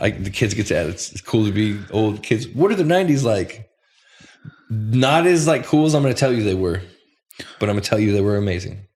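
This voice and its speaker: A somewhat breathy man at a fairly quick pace, on a very clean recording with a silent background. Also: fairly low pitch for a man, lively intonation. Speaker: music producer and bass player. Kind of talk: casual chat.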